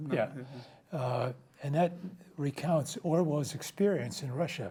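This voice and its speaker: A man speaks in a dark, mellow tone at a fairly high pitch. His voice is somewhat breathy. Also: ordinary pitch variation, fairly slow pace. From New Jersey, US (Ukrainian community in Newark). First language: Ukrainian. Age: 80s+. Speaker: retired accountant, guest. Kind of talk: interview conversation. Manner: halting, many fillers.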